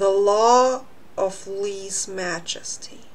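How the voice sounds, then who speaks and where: Putting on a character voice, a woman drawls in a nasal tone at a medium pitch. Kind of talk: reading and commentary on a text. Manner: arrogant, drawling.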